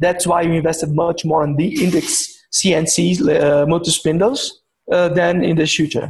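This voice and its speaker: This man speaks at a moderate pace in a Portuguese accent. His pitch is high and his loudness very even. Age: 50s. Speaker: executive of a machining company. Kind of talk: interview. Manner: halting.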